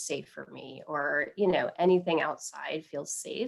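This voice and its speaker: At a fairly slow pace, a woman talks in a plain, everyday voice, fairly low in pitch, with ordinary pitch variation. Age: 30s. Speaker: mental health counselor and double lung transplant recipient. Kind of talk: interview.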